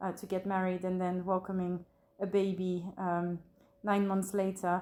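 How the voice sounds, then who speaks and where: A woman with a French accent, her tone dark and mellow, her intonation monotone and flat. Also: medium pitch for a woman, moderate pace. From France, Burgundy. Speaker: bereaved mother. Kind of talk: interview testimony. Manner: hesitant, many fillers.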